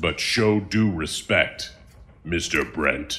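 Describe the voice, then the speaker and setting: A man puts on a character voice. His pitch sits fairly low. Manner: stern, warning.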